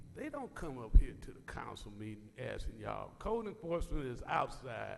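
With an American accent, a man talks at a moderate pace with big swings in loudness, as music plays in the background and room echo is audible. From US West Coast (Compton, California). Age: 60s. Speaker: public commenter. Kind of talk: public comment at council meeting. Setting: city council chamber.

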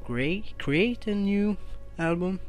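At a very slow pace, a speaker with a non-native accent talks over faint music in the background. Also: dry sound with no echo. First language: non-native English speaker. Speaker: tech reviewer. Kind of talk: screen-recorded tech tutorial. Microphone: phone near.

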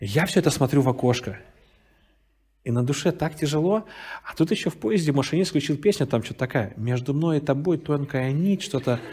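Somewhat breathy with a dark, mellow tone, a man with a fairly high pitch talks at a fairly quick pace with ordinary pitch variation and long, frequent pauses. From Russian Far East, Vladivostok; Russia. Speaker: pastor. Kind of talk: sermon. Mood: warm, storytelling. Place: hall.

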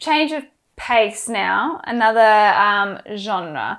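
Someone speaks at a very slow pace with an Australian accent. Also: woman. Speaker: book club host. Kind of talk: casual chat. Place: home room. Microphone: lapel.

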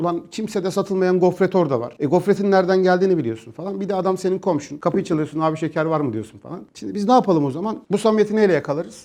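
Speaking very fast, a man uses lively intonation at a high pitch. His tone is dark and mellow. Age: 40s. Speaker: crypto company executive and economist. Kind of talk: interview. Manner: casual, colloquial.

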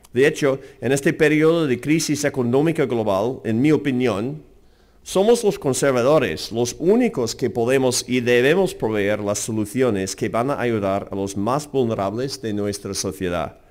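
A man at medium pitch with an American accent, lively intonation and a fairly slow pace. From US, Seattle. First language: English (speaking Spanish). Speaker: think tank president. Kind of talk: lecture. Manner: halting.

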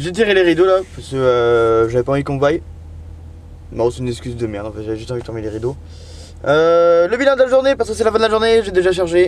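A fairly high-pitched man at a very fast pace, with very wide pitch swings, big swings in loudness, long, frequent pauses and a dry sound with no echo. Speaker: truck driver vlogger. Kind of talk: casual vlog monologue. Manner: hesitant, many fillers. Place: car. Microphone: phone near.

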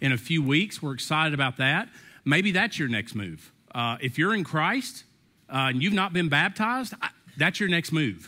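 Against a quiet background, a man speaks at a moderate pace in a bright, sharp tone. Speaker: pastor. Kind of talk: sermon. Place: church.

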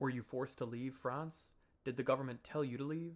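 The man's pitch sits in the medium range. He speaks at a fairly quick pace with monotone, flat intonation. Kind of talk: reading of a written interview and narration.

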